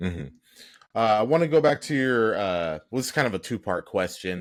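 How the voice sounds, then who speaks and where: With a normal speaking voice and a fairly low pitch, a man talks at a moderate pace with lively intonation on a very clean recording with a silent background. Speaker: podcast host. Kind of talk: podcast interview questions.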